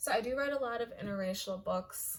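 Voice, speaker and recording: With an American accent, the woman speaks at a moderate speed. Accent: sounds American. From Kenya. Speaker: online fiction writer and vlogger. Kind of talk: casual vlog chat. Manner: casual, filler-heavy.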